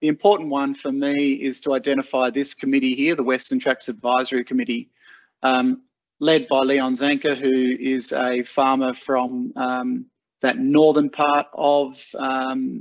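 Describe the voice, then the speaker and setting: A man at a fairly slow pace in monotone, flat intonation, against a quiet background. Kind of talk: webinar presentation. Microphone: video call.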